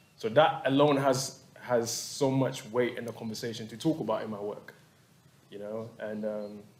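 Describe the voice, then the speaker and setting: A man speaks at a moderate pace in a medium pitch with ordinary pitch variation and big swings in loudness. Background noise is noticeable. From Ghana. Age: 30s. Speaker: visual artist. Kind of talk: panel artist talk. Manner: halting, repetitive.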